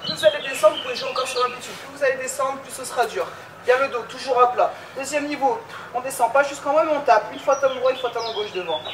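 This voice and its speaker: The pace is very fast, and noticeable background noise runs underneath. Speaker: fitness coach. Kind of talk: workout instruction. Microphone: camera far.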